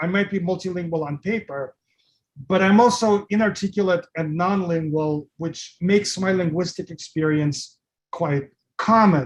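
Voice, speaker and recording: With a non-native accent, a man speaks fairly slowly in a high voice that shows ordinary pitch variation. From Russia, then Brooklyn from about age twelve. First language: Russian. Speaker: poet and lecturer. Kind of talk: lecture. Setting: video call. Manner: long pauses between words.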